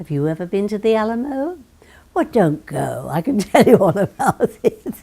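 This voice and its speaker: A woman's medium-pitched voice in a British accent, dark and mellow in tone with vocal fry, at a moderate pace, with very wide pitch swings. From London, England. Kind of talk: interview answer.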